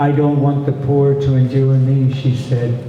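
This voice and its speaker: A man with an American accent at medium pitch, at a fairly slow pace over noticeable background noise. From Pittsburgh, USA. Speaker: poet. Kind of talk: poetry reading. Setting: bookstore cafe.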